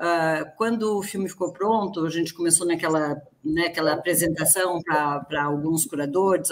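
Noticeable background noise sits behind a woman's fairly low voice. She talks at a fairly slow pace with ordinary pitch variation. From Rio Grande do Sul, Brazil. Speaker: film director. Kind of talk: online panel discussion. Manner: halting.

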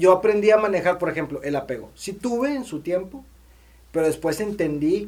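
A man speaks with ordinary pitch variation. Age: 30s. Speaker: podcast co-host. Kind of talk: casual chat.

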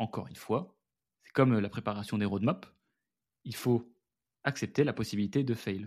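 This man's voice sits at a fairly low pitch. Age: 20s. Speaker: podcast host and agency founder. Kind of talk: casual solo monologue. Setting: home studio with headphones and mic. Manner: animated.

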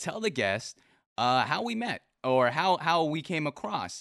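With a bright, sharp tone and an American accent, a man speaks at a moderate pace over a quiet background, his pitch swinging very widely. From US Pacific Northwest. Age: 20s. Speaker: stream interview show host. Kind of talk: casual interview chat. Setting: live stream.

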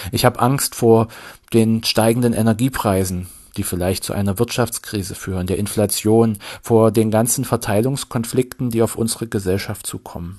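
With a quiet background, a man speaks in a normal speaking voice at medium pitch, his intonation fairly even. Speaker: vicar giving sermon. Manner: earnest, slow and measured, sincere, gently pleading.

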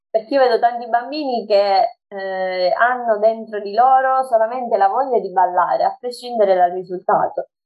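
Using an unremarkable speaking voice, a woman with a fairly high pitch talks with lively intonation and hardly any pauses. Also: moderate pace. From Sicily. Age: 20s. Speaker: social media page admin and dance teacher. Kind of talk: casual interview.

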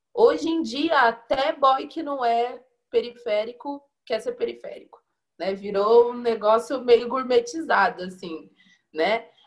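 With lively intonation and big swings in loudness, a woman speaks high-pitched at a fairly slow pace. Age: 20s. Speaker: community tourism educator. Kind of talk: panel discussion.

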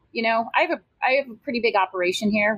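In an unremarkable speaking voice, a woman talks at a fairly quick pace and a fairly high pitch with lively intonation, the sound dry and close with no echo. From Iowa, US Midwest. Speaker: brewery owner. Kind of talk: interview conversation.

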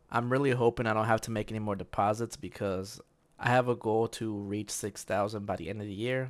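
A man with medium pitch and fairly even intonation at a moderate pace, an ordinary speaking voice in a very clean recording with a silent background. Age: 20s. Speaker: podcast host. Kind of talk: solo monologue on personal investing. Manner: casual, conversational with fillers.

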